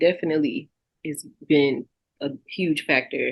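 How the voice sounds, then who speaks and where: This is a woman speaking with a Southern US accent. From Texas. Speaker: singer and songwriter. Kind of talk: interview. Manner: casual, many fillers.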